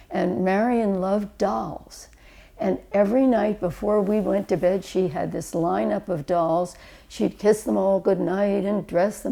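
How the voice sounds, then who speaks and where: A woman with an American accent speaks at a medium pitch and a fairly slow pace, her tone dark and mellow. Vocal fry runs through her voice, with ordinary pitch variation. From Philadelphia suburbs, Pennsylvania. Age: 80s+. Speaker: family member telling life story. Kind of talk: oral history reminiscence. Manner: reflective, conversational with hesitations.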